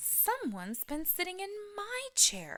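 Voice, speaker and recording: A female-sounding voice performs a put-on character at an extremely high pitch and a fairly slow pace. The recording is very clean, with a silent background. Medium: read story.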